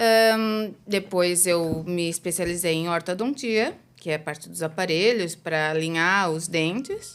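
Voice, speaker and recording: A woman speaks at a fairly slow pace with hardly any pauses, her pitch fairly low and its variation ordinary. The recording is very clean, with a silent background. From Brazil. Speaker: dentist. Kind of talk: interview.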